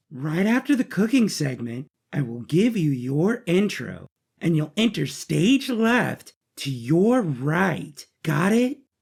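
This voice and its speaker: A put-on character voice at a middle pitch, cheerful in tone, with very wide pitch swings. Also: fairly slow pace. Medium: audio drama. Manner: cheerful, peppy.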